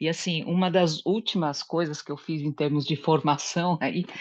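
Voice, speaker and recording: Against a quiet background, a woman with a very deep, low voice speaks at a moderate pace with fairly even intonation. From Brazil, Japanese-Brazilian family. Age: 60s. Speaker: study group participant, psychology professional. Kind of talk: group discussion, personal testimony. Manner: hesitant, many fillers.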